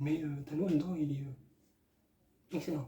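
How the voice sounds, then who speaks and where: A man speaks in a somewhat breathy voice with a dark, mellow tone and monotone, flat intonation. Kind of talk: casual movie review to camera. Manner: hesitant, many filler sounds.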